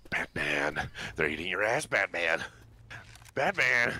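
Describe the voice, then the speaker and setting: Putting on a character voice, a man speaks very deep and low at a fairly slow pace. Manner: attempted villain voice.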